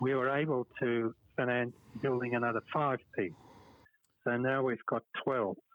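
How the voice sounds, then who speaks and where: In a Perth accent, a man at medium pitch talks at a moderate pace with long, frequent pauses and very even loudness. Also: fairly even intonation. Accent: Australian, Perth accent still present. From Western Australia (Perth). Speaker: petanque club organiser. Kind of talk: casual interview. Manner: hesitant, with fillers.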